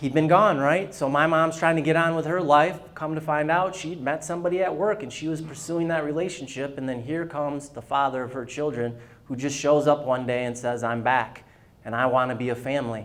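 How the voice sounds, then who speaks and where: Audible room echo surrounds a man who speaks fairly quickly at a fairly high pitch. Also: ordinary pitch variation. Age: 40s. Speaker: luncheon speaker. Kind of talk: testimony.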